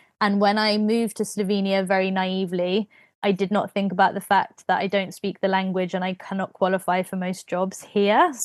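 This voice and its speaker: With a British accent, a woman of medium pitch speaks at a fairly quick pace in a monotone, flat intonation, the sound dry and close with no echo against a quiet background. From Britain. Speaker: podcast host, creative wellbeing facilitator. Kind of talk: casual chat.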